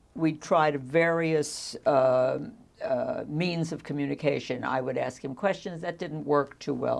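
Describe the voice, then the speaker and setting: Against a quiet background, a woman with a very deep, low pitch and vocal fry speaks fairly slowly. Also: ordinary pitch variation. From United States. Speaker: social worker. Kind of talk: oral history interview. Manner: halting.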